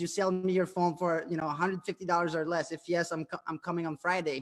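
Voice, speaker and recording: A man's high-pitched voice in a French-Canadian accent, flat and monotone, at a very fast pace. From Quebec, Canada. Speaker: entrepreneur. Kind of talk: interview. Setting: live stream. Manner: halting.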